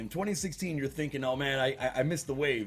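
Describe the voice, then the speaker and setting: A man with an American accent talks at a very fast pace in a somewhat breathy voice. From Cuban American, US. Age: 30s. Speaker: podcast host and video game streamer. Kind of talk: casual chat.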